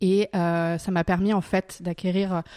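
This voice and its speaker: A woman speaks at a fairly low pitch, and the sound is dry and close with no echo. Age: 30s. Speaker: wine shop manager. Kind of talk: interview. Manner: enthusiastic.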